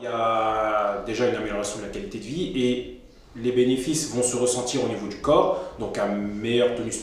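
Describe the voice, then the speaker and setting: A man speaks at a medium pitch with ordinary pitch variation. Noticeable background noise and audible room echo are present. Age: 20s. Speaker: sports therapy practitioner. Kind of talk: interview.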